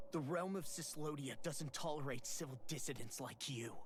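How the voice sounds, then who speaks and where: A man's put-on character voice, fairly high in pitch, with clear background noise. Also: moderate pace. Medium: video game.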